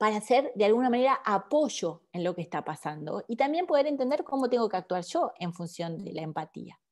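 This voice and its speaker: The woman's pitch leaps up and down across a very broad range. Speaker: leadership speaker. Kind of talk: webinar lecture.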